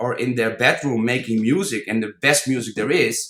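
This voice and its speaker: A man with a non-native accent and a bright, sharp tone. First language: not English. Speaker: DJ and music producer. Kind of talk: podcast interview. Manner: halting, repeats words.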